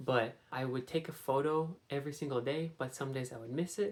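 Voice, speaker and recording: The speaker is soft-spoken. The pace is fairly quick. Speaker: vlogger. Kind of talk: casual vlog. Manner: soft-spoken, quiet.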